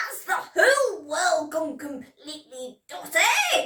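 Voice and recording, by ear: A woman does a put-on character voice at an extremely high pitch, slow in pace, with big pitch swings and a bright, sharp tone.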